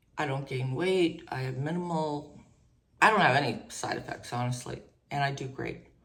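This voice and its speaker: A woman's very deep, low voice with ordinary pitch variation at a moderate pace, with audible room echo. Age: 60s. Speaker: mental health vlogger. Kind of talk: personal testimony. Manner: halting.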